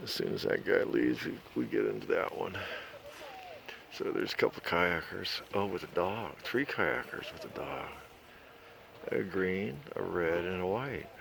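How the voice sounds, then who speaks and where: A man speaks at a moderate pace with long, frequent pauses. Noticeable background noise and audible room echo fill the recording. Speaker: RV travel vlogger. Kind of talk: casual vlog narration. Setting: outdoors. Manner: soft-spoken.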